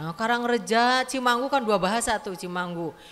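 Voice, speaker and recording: Lively intonation at a moderate pace. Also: woman. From West Java, Sundanese area (Dayeuhluhur). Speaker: community women's organization leader. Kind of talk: welcome speech. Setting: community hall event with audience. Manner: casual, conversational.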